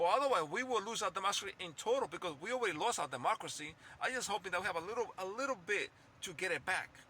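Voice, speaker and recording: A man's raised, projected voice with a non-native accent, high in pitch, very fast and animated, with very wide pitch swings. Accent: noticeable foreign. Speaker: political commentator YouTuber. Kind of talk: political rant monologue. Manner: animated, repetitive; halting, self-correcting.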